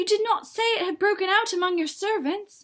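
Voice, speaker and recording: A woman puts on a character voice that is squeaky and shaky, pitched extremely high. She talks at a fairly quick pace. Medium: read story.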